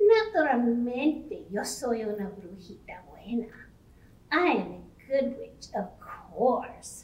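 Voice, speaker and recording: Putting on a cartoonish character voice, a woman speaks high-pitched at a fairly slow pace. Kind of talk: children's bilingual puppet show. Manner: upbeat, confident.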